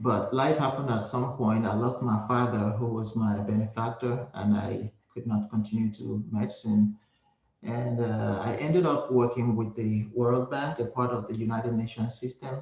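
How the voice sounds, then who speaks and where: A man with a Nigerian accent, medium in pitch, at a moderate pace. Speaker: hospice nurse. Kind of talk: interview.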